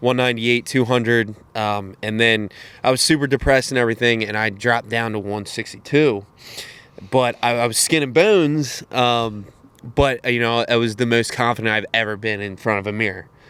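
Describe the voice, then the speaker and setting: With an American accent, the speaker moves at a fairly quick pace with fairly even intonation. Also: man, medium pitch for a man. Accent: country accent, sometimes. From Cecil County, Maryland (Elk Neck). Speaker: podcast guest. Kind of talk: casual chat.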